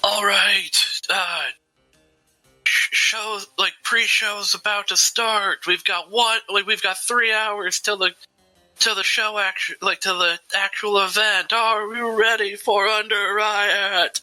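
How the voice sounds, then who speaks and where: In a gruff, put-on character voice, a man speaks at a fairly slow pace with a high pitch for a man and monotone, flat intonation, his dry, close sound carrying no echo over faint background music. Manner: loud.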